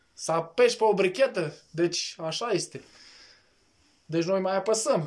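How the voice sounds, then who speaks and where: The voice has lively intonation and a moderate pace. The background is quiet. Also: man. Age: 20s. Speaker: vlogger. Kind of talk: casual chat. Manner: animated. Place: home room. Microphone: phone near.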